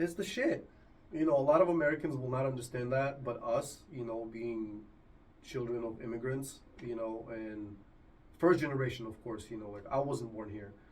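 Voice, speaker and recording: A man speaks at a moderate pace and medium pitch, with ordinary pitch variation and big swings in loudness. Room echo is audible, along with noticeable background noise. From Argentina. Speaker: podcast host. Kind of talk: casual chat.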